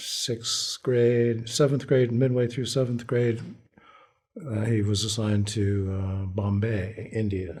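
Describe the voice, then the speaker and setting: A somewhat breathy man's voice at medium pitch with an American accent, very slow and fairly even in intonation, with audible room echo. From abroad, Foreign Service childhood, later Washington. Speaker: Vietnam War veteran. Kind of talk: oral history interview. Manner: halting.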